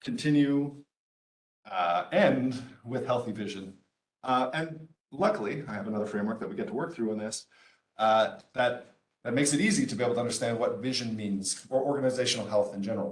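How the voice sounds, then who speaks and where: With a medium pitch, a man speaks at a fairly quick pace but leaves long, frequent pauses. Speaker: entrepreneur and business speaker. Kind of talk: lecture. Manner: fast.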